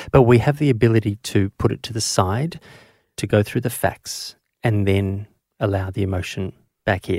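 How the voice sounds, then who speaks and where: The recording is very clean, with a silent background and a dry, close sound with no echo. A man with a fairly low pitch and a dark, mellow tone talks at a moderate pace with ordinary pitch variation. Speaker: paediatrician and podcast host. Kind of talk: interview.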